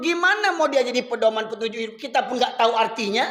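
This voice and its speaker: A raised, projected male voice with a bright, sharp tone, a fairly quick pace and ordinary pitch variation. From Medan, North Sumatra, Indonesia. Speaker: Islamic preacher. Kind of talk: sermon. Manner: conversational, addressing audience.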